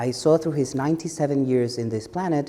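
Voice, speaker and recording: A speaker with an Ecuadorian accent. The pitch rises and falls in an ordinary way. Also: man. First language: Spanish. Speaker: advocacy director. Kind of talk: panel discussion.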